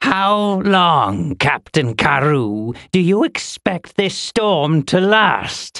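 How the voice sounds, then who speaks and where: Someone puts on a character voice at a middle pitch. The delivery is very slow with hardly any pauses. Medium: read story. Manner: haughty, demanding.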